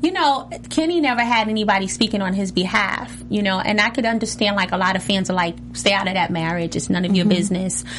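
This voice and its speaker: A woman at medium pitch talks very fast with hardly any pauses and ordinary pitch variation. Noticeable background noise is present. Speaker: reality TV cast member and singer. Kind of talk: casual chat. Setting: studio.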